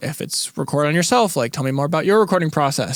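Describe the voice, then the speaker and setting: Over noticeable background noise, a man with a fairly high pitch talks at a very fast pace with lively intonation. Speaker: podcast co-host, recording engineer. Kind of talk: casual chat. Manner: animated.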